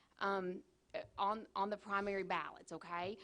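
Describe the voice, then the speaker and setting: A woman speaks in a Kentucky accent. Her pace is moderate. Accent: southern US (Kentucky). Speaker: county clerk. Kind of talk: public meeting report. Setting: county fiscal court meeting. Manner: loud; animated.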